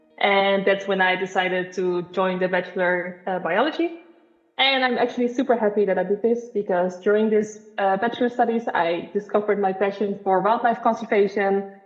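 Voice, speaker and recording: Against noticeable background noise, a woman with a Dutch accent talks at a fairly quick pace and medium pitch, keeping her loudness very even. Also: ordinary pitch variation. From Netherlands. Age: 20s. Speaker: marine biologist. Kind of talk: podcast interview.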